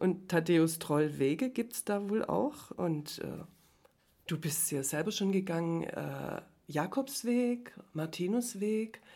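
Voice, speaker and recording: A woman speaks very slowly at a medium pitch, with a dark, mellow tone and ordinary pitch variation. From Herrenberg, Swabia (southwest Germany). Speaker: former journalist. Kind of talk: casual interview. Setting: coworking space.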